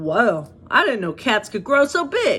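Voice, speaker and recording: A woman uses a put-on character voice at a fairly slow pace. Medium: read story. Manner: put-on cool streetwise voice.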